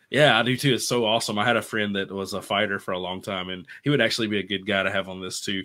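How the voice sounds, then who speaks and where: Talking very fast with hardly any pauses, a man with a Louisiana accent uses a fairly low, bright, sharp voice and fairly even intonation. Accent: Southern US (Louisiana). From US South, Louisiana countryside near Bossier City. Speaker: physical therapist and self-publishing author. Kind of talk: casual interview, personal story. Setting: livestreamed video call from home.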